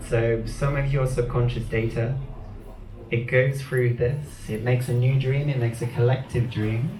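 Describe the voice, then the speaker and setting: Soft-spoken and monotone, a man talks at a medium pitch with flat intonation and audible room echo. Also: moderate pace. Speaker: performance artist. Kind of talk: stage performance talk.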